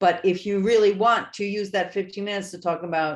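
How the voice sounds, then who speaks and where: A woman talks at a moderate pace with ordinary pitch variation. Her background is quiet. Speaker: author and trauma education speaker. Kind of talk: interview.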